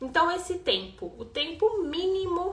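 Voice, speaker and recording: At a very slow pace, a woman speaks amid audible room echo. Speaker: rhythmic gymnastics coach. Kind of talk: live-stream class. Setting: Instagram live stream.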